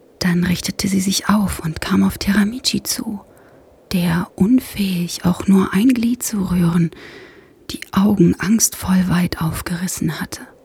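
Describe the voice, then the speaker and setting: The voice has a soothing tone and moves at a very slow pace over noticeable background noise. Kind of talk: bedtime story narration, ASMR. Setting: ASMR podcast for headphones. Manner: slow, soft, soothing, hushed and calming.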